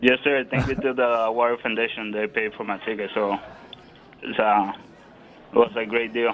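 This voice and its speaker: A man of medium pitch with a Puerto Rican accent, monotone, flat intonation and long, frequent pauses. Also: moderate pace. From Puerto Rico, San Juan. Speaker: Marine recovering from stroke. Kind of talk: interview.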